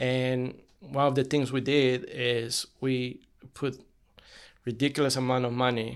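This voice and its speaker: A man with a Spanish accent, medium pitch, monotone flat intonation and fairly slow pace. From Bolivia (Cochabamba). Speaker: limo company CEO. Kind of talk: casual interview.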